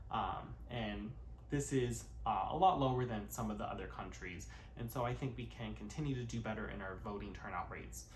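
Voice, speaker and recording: A man with an American accent talks at a fairly quick pace, with audible echo from the room. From US, California. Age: 20s. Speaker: YouTuber, cover singer turned commentator. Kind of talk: vlog-style commentary to camera. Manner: frequent filler words (uh, um).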